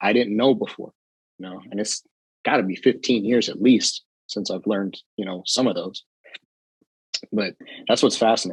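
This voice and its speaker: In a dry, close recording with no echo, a man talks fairly quickly in a fairly low voice. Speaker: jiu jitsu instructor and content creator. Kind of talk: casual chat. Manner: fast when excited; animated.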